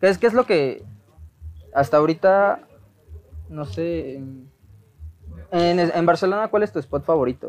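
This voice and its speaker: Speaking with a Mexican accent, a man uses a high pitch and lively intonation at a fairly slow pace, his loudness swinging widely between long, frequent pauses. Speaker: podcast host. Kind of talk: casual interview.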